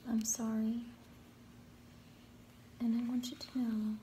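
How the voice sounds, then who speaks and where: Over light background noise, a soft-spoken woman talks at a fairly slow pace in a gentle, soothing tone. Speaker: ASMR creator. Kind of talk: ASMR soft-spoken talk to camera. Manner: soft-spoken, gentle, soothing. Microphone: phone near.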